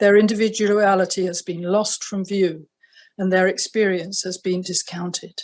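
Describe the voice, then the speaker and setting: With a southern English accent, a woman speaks at a medium pitch in a flat monotone. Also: moderate pace. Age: 70s. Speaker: retired family doctor. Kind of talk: prepared statement. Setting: video address. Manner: formal.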